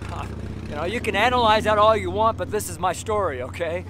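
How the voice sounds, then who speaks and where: The pace is moderate. The sound is dry with no echo, and there is noticeable background noise. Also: man. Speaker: street preacher. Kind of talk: sermon delivered casually to camera, personal testimony. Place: street. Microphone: phone near.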